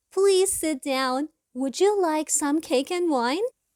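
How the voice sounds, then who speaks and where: In a put-on character voice, a woman speaks fairly slowly, squeaky and extremely high in pitch, with lively intonation. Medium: read story. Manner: courteous.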